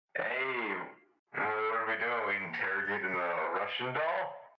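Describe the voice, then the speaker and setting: A man's put-on character voice at medium pitch and moderate pace, with slight echo. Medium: machinima. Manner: casual, breezy.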